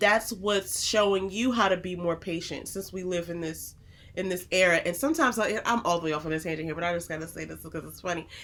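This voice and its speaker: Loud and very fast, a woman talks at a fairly low pitch with ordinary pitch variation. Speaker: podcast co-host, married couple Bible discussion. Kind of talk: casual chat.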